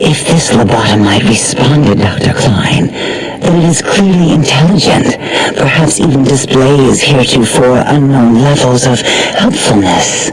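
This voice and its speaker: Over loud background noise, a man puts on a character voice at medium pitch and a moderate pace. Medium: machinima. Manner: polite, eerily cheerful.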